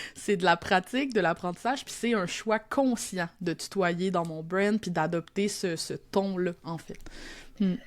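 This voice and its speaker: In a very clean recording with a silent background, the speaker goes at a fairly slow pace with ordinary pitch variation. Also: woman, medium pitch for a woman. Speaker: copywriter and teacher. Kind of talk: podcast interview. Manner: casual, Quebec colloquial.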